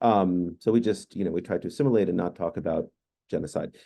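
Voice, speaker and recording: A man speaks very fast in a very deep, low voice with a dark, mellow tone and ordinary pitch variation. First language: Hungarian. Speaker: professor. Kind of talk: panel discussion.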